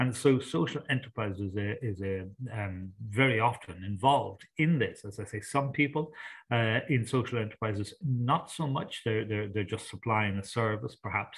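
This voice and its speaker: A somewhat breathy man's voice at medium pitch, on a very clean recording with a silent background. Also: ordinary pitch variation, moderate pace. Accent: Irish. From Ireland. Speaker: sustainability consultant and coach. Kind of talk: interview.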